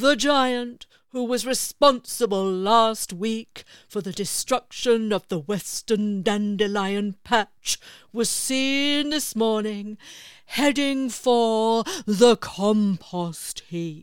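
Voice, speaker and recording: A woman puts on a character voice, raised and projected, with a fairly high pitch and a serious tone at a very slow pace. The recording is very clean with a silent background. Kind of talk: bedtime story. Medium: read story. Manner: slow, serious, pedantic.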